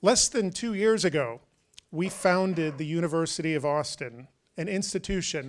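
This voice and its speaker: This man's pitch is high. His pitch variation is ordinary. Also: quiet background. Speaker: university president hosting event. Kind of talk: welcome speech. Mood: formal, warm. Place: stage. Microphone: handheld.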